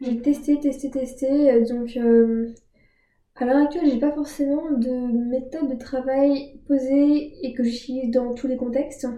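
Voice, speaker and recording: A woman speaks at a very slow pace in a high pitch. Her tone is dark and mellow, with monotone, flat intonation. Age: 20s. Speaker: student. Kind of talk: casual interview. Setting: in an apartment.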